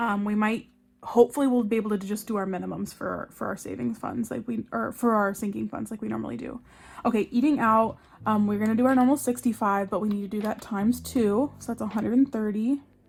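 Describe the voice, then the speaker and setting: A woman speaks very fast at a fairly high pitch, keeping her intonation fairly even. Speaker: budgeting vlogger. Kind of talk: casual budgeting tutorial. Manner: casual with fillers; loud.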